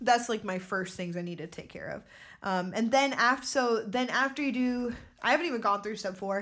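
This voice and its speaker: A normal speaking voice at a fairly quick pace, with ordinary pitch variation and big swings in loudness. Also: woman, fairly high pitch for a woman. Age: 20s. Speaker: podcast co-host. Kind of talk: casual chat.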